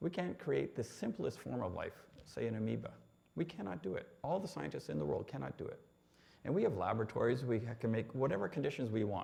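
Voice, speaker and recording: A man with a Canadian accent at a very fast pace. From Canada (Ontario, North Bay). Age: 60s. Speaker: engineer sharing faith testimony. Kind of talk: testimony. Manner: hesitant, many fillers.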